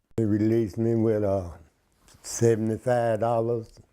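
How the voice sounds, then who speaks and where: A man with a Memphis accent, medium pitch and a dark, mellow tone. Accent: Southern US, Memphis. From US South, Memphis, Tennessee. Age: 60s. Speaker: former prisoner. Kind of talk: interview testimony.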